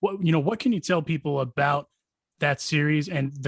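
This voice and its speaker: Recorded dry and close with no echo, a man speaks at a moderate pace in a somewhat breathy, fairly high voice. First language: Spanish. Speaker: podcast host. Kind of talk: interview over video call. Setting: video call.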